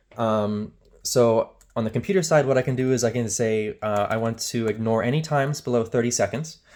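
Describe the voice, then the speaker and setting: Speaking at a fairly quick pace, a man with a medium pitch uses ordinary pitch variation on a very clean recording with a silent background. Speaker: software demonstrator. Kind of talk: tutorial. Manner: fast; casual with many fillers.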